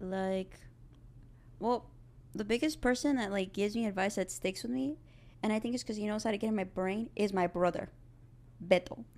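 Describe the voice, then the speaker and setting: Speaking with an American accent at a moderate pace, a woman uses a medium pitch, ordinary pitch variation and long, frequent pauses. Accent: South Texas Mexican American English. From South Texas, Rio Grande Valley. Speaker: film student. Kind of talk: casual chat. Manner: animated.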